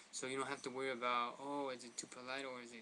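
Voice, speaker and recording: A man with a Spanish accent, medium pitch, very fast pace and monotone, flat intonation. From Mexican heritage. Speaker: language tutorial vlogger. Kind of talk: tutorial. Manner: casual, halting with fillers.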